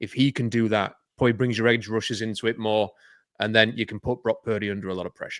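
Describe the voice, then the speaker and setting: A man with a Yorkshire accent speaks at medium pitch in a monotone, flat intonation. The recording is very clean, with a silent background. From Yorkshire, northern England. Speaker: football podcast analyst. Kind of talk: casual sports panel discussion.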